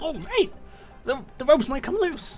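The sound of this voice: Faint music plays in the background as a man uses a raspy, put-on character voice at an extremely high pitch with big pitch swings and a fairly slow pace.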